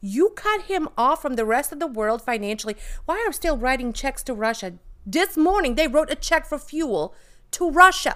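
With a slight Bosnian accent, a woman speaks at a moderate pace in a bright, sharp, high, animated voice with very wide pitch swings, on a very clean recording with a silent background. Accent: light Bosnian accent in American English. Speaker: podcast co-host. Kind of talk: casual chat.

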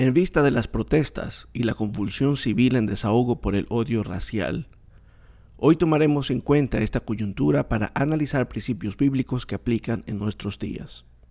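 A man speaks at a moderate pace with lively intonation. His medium-pitched voice has a dark, mellow tone and vocal fry. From Ecuador, coast region. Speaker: religious podcast host. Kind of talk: bible teaching monologue.

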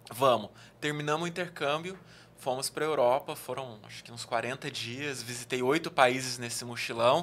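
The speaker is a man. Ordinary variation runs through his pitch. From interior of São Paulo state (Araraquara), Brazil. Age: 30s. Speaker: travel youtuber. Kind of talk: casual chat. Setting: studio.

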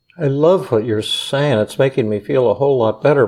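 At a moderate pace, a man with an ordinary speaking voice talks fairly high in pitch, with ordinary pitch variation. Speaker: psychiatrist. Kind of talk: casual chat. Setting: studio.

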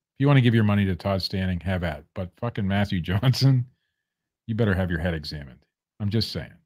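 Very clean recording, silent background, and a man with an unremarkable speaking voice. His pitch is fairly low with ordinary variation, at a fairly quick pace. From Ohio. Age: 40s. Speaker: podcast co-host. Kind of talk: casual chat.

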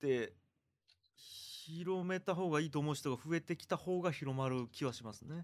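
This man's voice sits fairly high, with ordinary pitch variation and big swings in loudness. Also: moderate pace. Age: 40s. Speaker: podcast host. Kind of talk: casual conversation.

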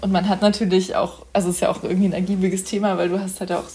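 A woman's somewhat breathy, dark, mellow voice at medium pitch, very fast and monotone, with flat intonation. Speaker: podcast host, youth council member. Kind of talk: casual interview.

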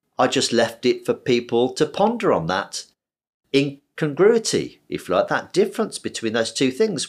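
An ordinary speaking voice moves at a moderate pace with lively intonation in a very clean recording with a silent background. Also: man. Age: 60s. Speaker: surgeon. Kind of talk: interview.

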